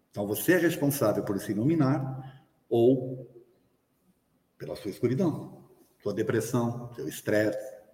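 A somewhat breathy man with a dark, mellow tone and medium pitch, at a fairly slow pace with long, frequent pauses and ordinary pitch variation, in audible room echo. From Brazil. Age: 60s. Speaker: spiritist lecturer. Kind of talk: lecture. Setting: hall with live audience, also streamed.

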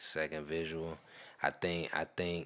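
A man speaks with a very deep, low-pitched voice. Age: 20s. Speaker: podcast guest. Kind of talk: casual chat.

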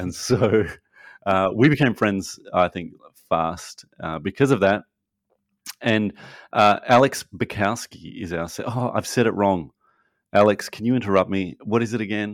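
A man with an Australian accent speaks at a fairly slow pace in a fairly low pitch, with ordinary pitch variation, long, frequent pauses, and a dry, close sound with no echo. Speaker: podcast host. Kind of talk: casual chat. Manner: animated.

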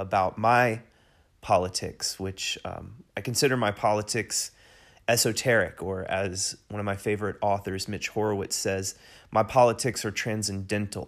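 Delivered at a moderate pace with an American accent, the speech runs in a monotone, flat intonation with big swings in loudness, on a very clean recording with a silent background. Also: man. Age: 40s. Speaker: podcast host. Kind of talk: solo podcast monologue. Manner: hesitant with fillers.

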